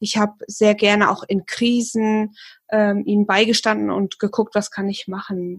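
A woman speaks at a fairly high pitch, somewhat breathy. Her intonation is monotone and flat. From Hesse, near Fulda. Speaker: hypnotherapist, former psychiatric nurse. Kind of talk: casual chat.

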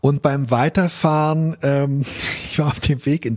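At a fairly slow pace, a man with medium pitch speaks in an unremarkable speaking voice. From Berlin, Germany. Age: 50s. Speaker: author and journalist. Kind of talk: personal reflection monologue. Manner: thoughtful with frequent fillers.

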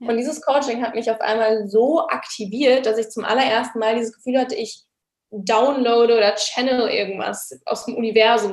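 Fairly high in pitch, a woman talks at a fairly quick pace with fairly even intonation. She has a normal speaking voice. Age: 20s. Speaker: online business coach. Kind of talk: casual interview.

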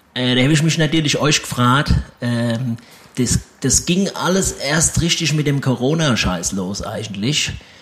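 A fairly slow pace and lively intonation over noticeable background noise. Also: man, medium pitch for a man. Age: 30s. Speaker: comedian. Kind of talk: interview.

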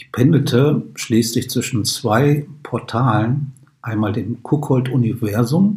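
A man is speaking. His voice is somewhat breathy. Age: 50s. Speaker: podcast host. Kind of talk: scripted narration.

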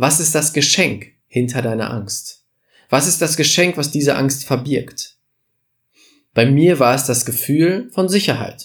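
A somewhat breathy, fairly high-pitched man at a fairly slow pace, with ordinary pitch variation. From Germany, village. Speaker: podcast host, business coach. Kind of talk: motivational monologue. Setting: studio podcast recording.

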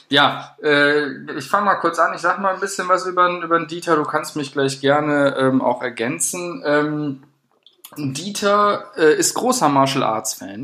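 A man talks fairly slowly with lively intonation and a fairly high pitch. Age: 20s. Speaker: podcast co-host, student. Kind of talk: casual chat. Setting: studio.

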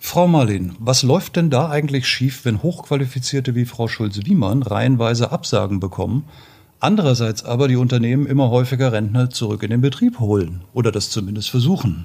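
A man's somewhat breathy, dark, mellow voice at medium pitch, fairly quick in pace, with lively intonation. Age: 50s. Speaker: podcast co-host. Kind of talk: interview.

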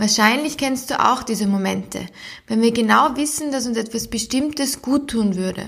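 A woman speaks in a plain, everyday voice. Her pitch is fairly high, with ordinary pitch variation. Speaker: podcast host, psychologist and sport scientist. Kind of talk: guided meditation, calm and soothing, addressing listener as 'du'. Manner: slow, soft-spoken, gentle and unhurried with long pauses; warm, encouraging, playful imagery.

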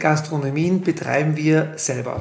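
Amid noticeable background noise and audible room echo, a man with a Tyrolean accent speaks at a fairly high pitch with fairly even intonation. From Austria, Tyrol (Innsbruck area). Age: 40s. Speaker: ski lift company executive. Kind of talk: interview.

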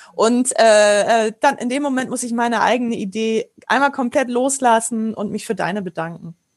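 Her fairly high pitch shifts in an ordinary way as a woman with an unremarkable speaking voice talks at a moderate pace. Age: 40s. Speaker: improv actor and trainer. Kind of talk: interview.

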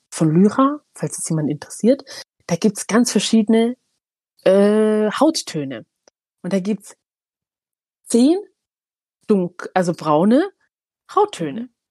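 Her pitch is fairly high and swings very widely as the woman talks at a very slow pace. The sound is dry and close, with no echo. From Eritrea, moved to Germany at eight. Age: 30s. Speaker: kindergarten manager. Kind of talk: casual chat.

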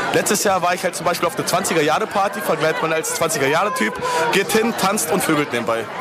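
A man with a high pitch talks at a fairly quick pace with lively intonation, amid noticeable background noise and audible room echo. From northern Germany (Lüneburg). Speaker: friend of the host. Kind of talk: casual chat.

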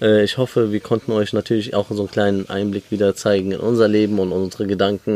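A plain, everyday voice from a man, fairly low in pitch, at a moderate pace, with a dry, close sound with no echo. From Germany, Lebanese family. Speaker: podcast host. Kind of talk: casual chat. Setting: outdoors on a balcony.

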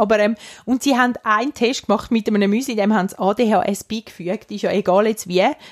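A woman speaks at a moderate pace with an ordinary speaking voice, fairly high in pitch with ordinary pitch variation. The sound is dry and close, with no echo. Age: 30s. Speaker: podcast co-host. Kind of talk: casual chat.

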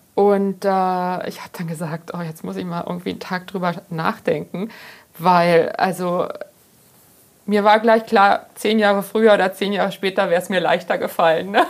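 A woman has an unremarkable speaking voice at a medium pitch. She talks at a moderate pace with fairly even intonation and big swings in loudness. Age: 50s. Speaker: pharmacist and journalist, author. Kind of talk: casual interview.

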